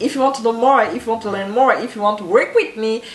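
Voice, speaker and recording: With noticeable background noise around her, a woman speaks with a French accent. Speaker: entrepreneur and branding coach. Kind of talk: motivational talk to camera.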